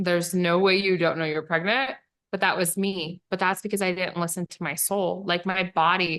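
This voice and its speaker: A woman's medium-pitched voice, monotone and flat in intonation, at a moderate pace. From rural western ranching area. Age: 30s. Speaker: life coach. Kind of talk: casual chat.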